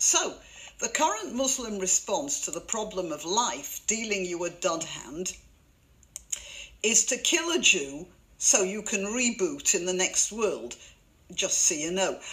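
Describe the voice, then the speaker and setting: A woman with a British accent talks at a fairly slow pace with long, frequent pauses. Her medium pitch moves in very wide swings. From Britain. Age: old. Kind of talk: commentary to camera. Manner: tongue in cheek.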